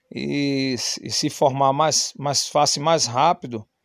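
A man's fairly high voice at a very slow pace. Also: dry, close sound with no echo, quiet background. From Brazilian Northeast. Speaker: podcaster. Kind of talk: personal monologue. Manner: halting, many fillers.

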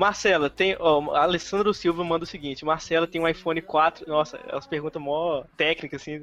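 This man has a high-pitched voice and fairly even intonation. He keeps a moderate pace with hardly any pauses. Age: 20s. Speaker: podcast host. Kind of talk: casual chat.

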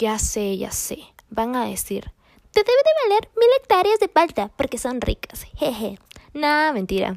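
A woman at a fairly slow pace, her sound dry and close with no echo. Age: 20s. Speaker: podcaster. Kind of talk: casual monologue. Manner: animated.

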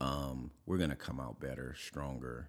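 Energetic in tone but at a fairly slow pace, this voice carries vocal fry and an American accent. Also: man. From Oakland, California. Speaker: podcast host, leadership speaker. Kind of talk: casual interview chat.

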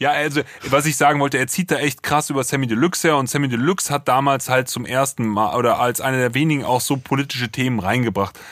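On a very clean recording with a silent background, the words come very fast. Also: man, medium pitch for a man, ordinary pitch variation. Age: 30s. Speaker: music producer, podcast co-host. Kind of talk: casual album review chat.

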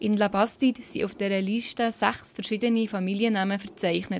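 A woman talks at a fairly quick pace with a Bernese accent. Her pitch is medium and her intonation fairly even. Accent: Bernese Swiss German dialect. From Switzerland, Bernese Seeland. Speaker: podcast host and producer. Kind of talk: scripted narration.

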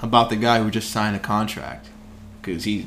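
A man's voice with music in the background. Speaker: sports podcast host. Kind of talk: casual chat.

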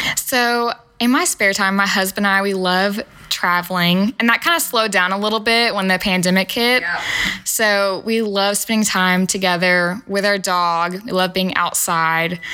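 A woman talks at a moderate pace and medium pitch, her intonation fairly even and her loudness very even. Noticeable background noise is present. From Nashville, Tennessee (Antioch). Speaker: small business owner, dog treat baker. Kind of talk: casual chat. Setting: in person, host's office.

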